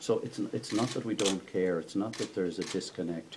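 Noticeable background noise sits under a man's speech. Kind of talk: interview answer. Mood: firm, defensive. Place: hall.

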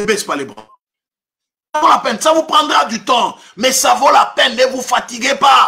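A man talks at a fairly slow pace. His speech has long, frequent pauses. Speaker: preacher. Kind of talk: sermon. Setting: online livestream from home. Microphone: webcam.

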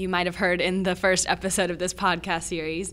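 At a fairly quick pace, a woman with an American accent speaks in a monotone, flat way, her tone bright and sharp and her pitch fairly low. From Virginia, US. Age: 20s. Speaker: student podcast co-host. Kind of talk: educational podcast discussion.

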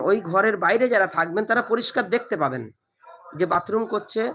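A man with a high-pitched, raised, projected voice speaks with ordinary pitch variation. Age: 50s. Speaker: cleric and political activist. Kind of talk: press interview. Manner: halting.

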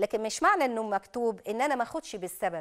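Here a woman talks with lively intonation and a fairly high pitch. Her pace is moderate, and the background is quiet. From Egypt. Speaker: Islamic preacher and TV host; Islamic preacher, TV host. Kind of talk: religious TV program with Quran commentary and call-ins. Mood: calm, reassuring. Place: studio.

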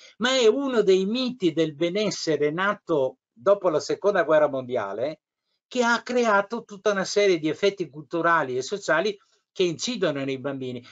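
This man's voice is high-pitched, with lively intonation at a moderate pace. The background stays quiet. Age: 70s. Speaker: retired school inspector and pedagogist; interviewee. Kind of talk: interview. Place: home room. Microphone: video call.

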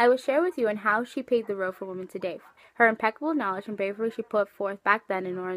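In dry sound with no echo, a woman talks at a very fast pace with ordinary pitch variation. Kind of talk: class presentation. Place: home room. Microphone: webcam.

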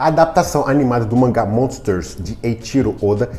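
The talking proceeds at a moderate speed. In the background, music plays faintly. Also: man. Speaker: news presenter. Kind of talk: news commentary. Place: home room. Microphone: lapel.

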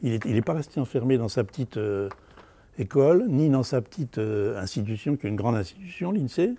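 A man talks at a fairly quick pace with lively intonation. His tone is dark and mellow, and somewhat breathy. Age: 70s. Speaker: university academic. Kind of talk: interview testimony.

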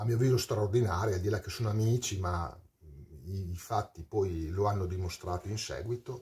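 A man speaks in a fairly low, somewhat breathy voice. The background is quiet. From Parma, northern Italy; northern Italy. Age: 40s. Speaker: metal singer. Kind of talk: storytelling monologue. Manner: animated. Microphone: webcam.

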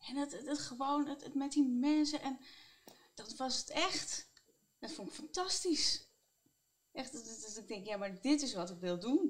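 A woman speaks very slowly in a high voice, with lively intonation, big swings in loudness and long, frequent pauses. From Netherlands, Utrecht region; Netherlands. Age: 30s. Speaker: psychiatric nurse; interview guest. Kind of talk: interview. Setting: on a bench. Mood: reflective, warm. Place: office. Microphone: lapel.

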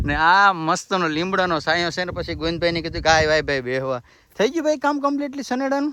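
This man's voice sits high in pitch. It has a bright, sharp tone. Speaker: village vlogger and farmer. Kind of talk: casual vlog narration. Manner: animated.

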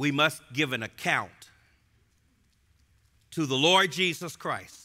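Against a quiet background, a man talks at a very slow pace with a bright, sharp tone and lively intonation. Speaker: preacher. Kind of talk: expository sermon to a live audience. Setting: live audience in a gym. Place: church. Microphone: headset.

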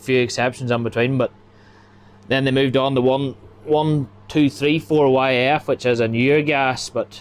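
A man speaks with monotone, flat intonation at a very even loudness. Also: moderate pace. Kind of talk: interview answer. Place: farm machine. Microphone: phone near.

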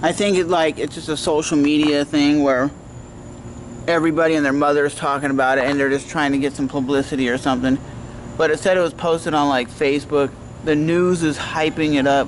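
A man talks at a fairly quick pace with very even loudness and monotone, flat intonation over light background noise. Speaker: vlogger. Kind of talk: casual vlog chat. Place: street. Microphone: phone near.

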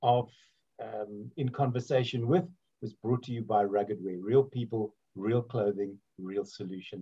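Somewhat breathy and dark, mellow in tone, a man talks at a fairly slow pace against a quiet background. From South Africa, Port Elizabeth; South Africa. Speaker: interviewer and radio host; interviewer, radio host. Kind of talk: casual interview chat. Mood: warm, jokey, anecdotal. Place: home room. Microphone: video call.

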